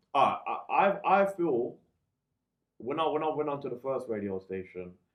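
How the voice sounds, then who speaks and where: Here a man talks with a London accent at a moderate pace. His pitch is fairly high and swings very widely. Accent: London multicultural English. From East London. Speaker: DJ and radio presenter. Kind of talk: casual interview chat.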